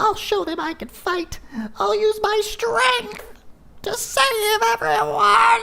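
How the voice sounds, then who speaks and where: In a put-on character voice pitched extremely high, the speaker talks at a very slow pace. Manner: earnest, determined.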